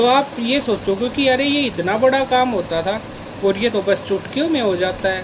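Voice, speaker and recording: Noticeable background noise can be heard, and the pitch varies in an ordinary way. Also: man. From Haryana, India (Rohtak area). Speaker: software engineer. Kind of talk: casual talk to camera.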